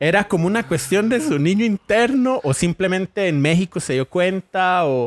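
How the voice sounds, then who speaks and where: Someone with a Costa Rican accent speaks at a moderate pace with lively intonation, hardly any pauses and very even loudness, on a very clean, dry, close recording with no echo and a silent background. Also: man, high pitch for a man. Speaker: podcast co-host. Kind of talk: casual chat.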